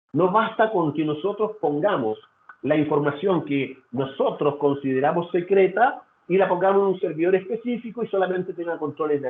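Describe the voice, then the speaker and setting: At a fairly quick pace, a man talks with a high pitch and lively intonation. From Chile. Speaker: data security consultant. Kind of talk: webinar presentation. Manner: halting, with fillers and repetitions.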